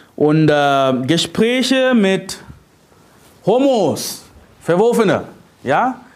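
The speech moves at a very slow pace with long, frequent pauses and very wide pitch swings. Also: man, high pitch for a man. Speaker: preacher. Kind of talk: sermon. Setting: church. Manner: emphatic preaching, repeated "Ja?" tags, teaching tone; direct, urgent, addresses listeners as "du".

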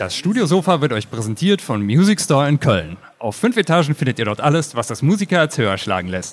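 On a very clean recording with a silent background, a man talks fairly quickly in a fairly high voice with vocal fry and very wide pitch swings. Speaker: podcast host. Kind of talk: casual chat. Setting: stage with audience.

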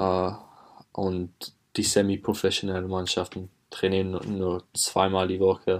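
A man with a very deep, low voice speaks fairly slowly in a flat monotone, leaving long, frequent pauses, in a very clean recording with a silent background. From England. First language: English (speaking German). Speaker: footballer. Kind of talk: interview. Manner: halting.

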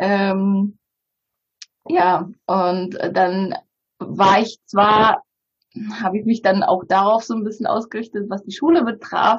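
A woman with a Bulgarian accent talks at a medium pitch with ordinary pitch variation and a somewhat breathy quality. Her pace is very slow, broken by long, frequent pauses. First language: Bulgarian (speaking German). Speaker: publisher. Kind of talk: interview conversation.

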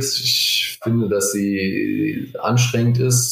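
A man speaks with audible room echo. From Germany, Frankfurt area. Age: 20s. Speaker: law clerk and startup legal advisor. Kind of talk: casual interview.

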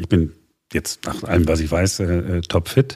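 This voice is a man's. It sounds dark and mellow. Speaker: podcast host. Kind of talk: news podcast.

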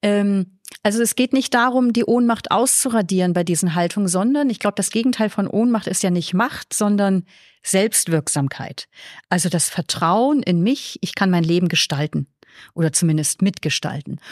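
With a northern German accent, the speaker uses lively intonation at a moderate pace and very even loudness, recorded dry and close with no echo on a very clean recording with a silent background. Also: woman, medium pitch for a woman. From northern Germany, Flensburg on the Danish border. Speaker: nun, theologian and author. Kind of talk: casual interview.

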